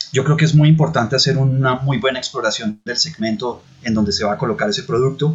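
A man talks at a very fast pace with a medium pitch. His voice is somewhat breathy, with ordinary pitch variation. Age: 40s. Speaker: tech entrepreneur. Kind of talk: interview. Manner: hesitant fillers.

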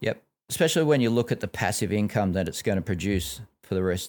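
On a very clean recording with a silent background, a man with an Australian accent talks at a very fast pace. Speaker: financial advisor podcast host. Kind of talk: casual educational chat.

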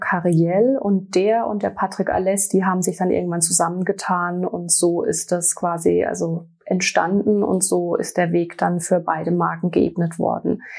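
A woman in a normal speaking voice talks at a moderate pace and medium pitch, with fairly even intonation and hardly any pauses. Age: 40s. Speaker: sales representative for a hair care brand. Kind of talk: interview.

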